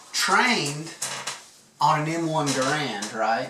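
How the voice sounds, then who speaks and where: Lively intonation from a man with a fairly high voice, over noticeable background noise. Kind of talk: casual interview questions.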